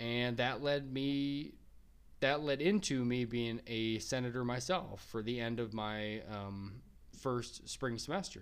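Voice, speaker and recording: At a very slow pace, a man with an American accent speaks at a medium pitch with ordinary pitch variation. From Minnesota. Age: 30s. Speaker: podcast host, college student. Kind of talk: solo podcast monologue. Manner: halting, many fillers.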